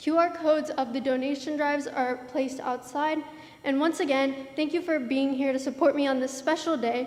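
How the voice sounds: A woman speaks with a high pitch. Her tone is slightly mellow.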